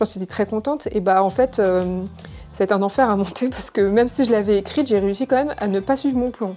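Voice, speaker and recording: Speaking at a very fast pace, a woman has a fairly high pitch and a dark, mellow tone. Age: 30s. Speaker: cosplayer and YouTuber. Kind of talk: casual chat. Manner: hesitant, many fillers.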